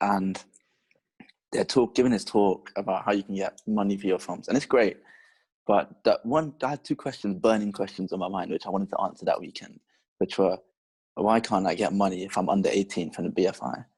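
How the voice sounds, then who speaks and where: A man with a London accent speaks at a fairly quick pace and fairly low pitch, with ordinary pitch variation. The recording is very clean and the background silent. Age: 18 or 19. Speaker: podcast host. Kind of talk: casual chat.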